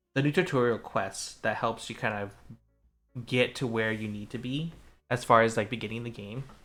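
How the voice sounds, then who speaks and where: A man speaks at a moderate pace in a medium pitch. Music plays in the background. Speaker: VTuber streamer. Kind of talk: casual chat. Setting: live stream. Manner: monotone; halting, many fillers.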